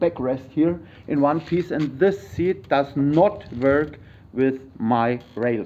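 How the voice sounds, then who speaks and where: A man talks at a very slow pace in a fairly high pitch. His pitch varies in an ordinary way. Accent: German. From Germany. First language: German. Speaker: YouTuber, vehicle modder. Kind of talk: tutorial. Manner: halting.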